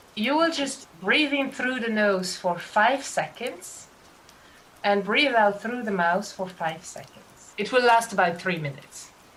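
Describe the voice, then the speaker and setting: Against noticeable background noise, a woman with a fairly high pitch talks at a fairly slow pace with lively intonation. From Belgium. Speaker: professional cuddler, former actress and singer. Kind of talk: guided relaxation. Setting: video call.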